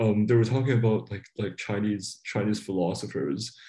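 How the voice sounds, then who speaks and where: A man speaks in a dark, mellow tone at a fairly low pitch. His intonation is fairly even, with vocal fry. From Hong Kong. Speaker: novelist. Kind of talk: interview.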